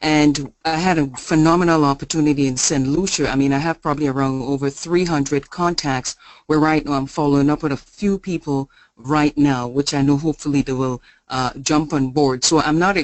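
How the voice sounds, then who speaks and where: A woman speaks at a moderate pace with an energetic tone and a very deep, low pitch. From Grenada. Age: young. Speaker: sales distributor. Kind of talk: testimony. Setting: conference call.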